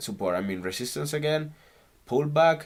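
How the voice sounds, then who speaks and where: A man with a Spanish accent speaks with lively intonation. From Canary Islands, Spain. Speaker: stock trader. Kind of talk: casual screen-recorded trading tutorial.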